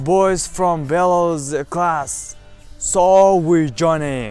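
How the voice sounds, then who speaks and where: A man with a non-native accent and a fairly high pitch, speaking very slowly with ordinary pitch variation over music in the background. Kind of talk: personal story told to camera. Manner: hesitant, halting.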